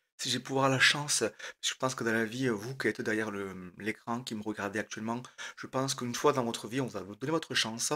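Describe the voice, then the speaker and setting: A man's bright, sharp voice at a fairly quick pace, fairly even in intonation, on a very clean recording with a silent background. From southern France, Aveyron (Rodez). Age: 30s. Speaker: trainee radio host. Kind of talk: audition pitch to camera. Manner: hesitant, many fillers.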